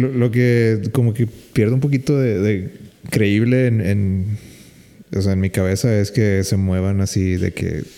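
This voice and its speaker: A man with a Mexican accent talks in a fairly low pitch with ordinary pitch variation. His tone is dark and mellow, and his loudness is very even. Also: fairly slow pace. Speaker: podcast host. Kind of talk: casual chat.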